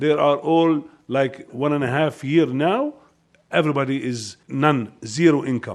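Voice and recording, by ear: A man at a fairly slow pace, his pitch medium and his tone slightly mellow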